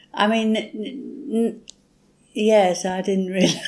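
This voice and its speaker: Very slow speech from a woman in a British accent, dark and mellow in tone. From England. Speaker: English reading tutor. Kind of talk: casual chat.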